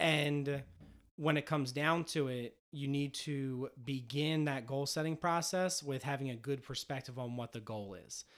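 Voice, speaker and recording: A man speaks at a fairly slow pace in a normal speaking voice, his pitch fairly high. The recording is very clean, with a silent background. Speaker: podcast host, teacher. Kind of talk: casual chat.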